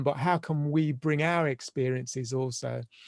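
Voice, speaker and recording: The speaker has a London accent, heard on a very clean recording with a silent background. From London, England. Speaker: family and systemic therapist. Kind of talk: podcast interview. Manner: halting.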